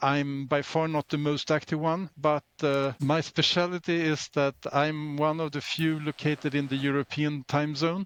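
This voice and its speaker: In a Swedish accent, a man with fairly high pitch speaks monotone and flat at a fairly slow pace, with a dry, close sound and no echo. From Sweden. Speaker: open-source volunteer contributor. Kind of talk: interview.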